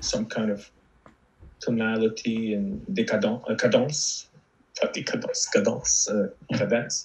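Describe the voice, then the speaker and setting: A man talks with an Arabic accent. His pace is fairly slow. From Lebanon. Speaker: novelist. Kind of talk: interview conversation. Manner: halting, many fillers and repetitions.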